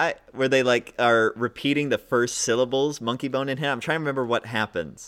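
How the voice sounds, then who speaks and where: On a very clean recording with a silent background, a man in a plain, everyday voice speaks at a fairly quick pace with a medium pitch and fairly even intonation. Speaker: guest podcaster. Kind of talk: casual comedy podcast chat.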